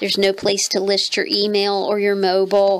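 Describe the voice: A croaky woman at medium pitch, talking at a fairly slow pace.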